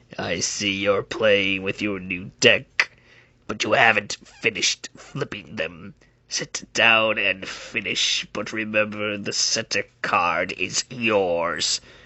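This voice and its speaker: A man puts on a raspy character voice, pitched fairly low. He talks at a very slow pace. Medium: read story. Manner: cold, commanding, menacing.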